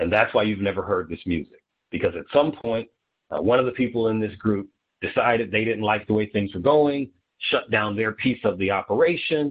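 A man with an American accent and an unremarkable speaking voice, fairly low in pitch, with ordinary pitch variation and a fairly quick pace. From Ohio (Dayton). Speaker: startup attorney and app founder. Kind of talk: casual interview.

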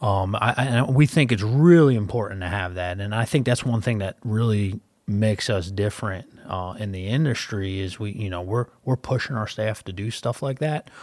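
A man with a Philadelphia accent, fairly low-pitched with ordinary pitch variation, at a moderate pace with hardly any pauses. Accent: Philadelphia accent, noticeable. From Philadelphia, US. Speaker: wealth advisor and podcast host. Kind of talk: casual business podcast chat.

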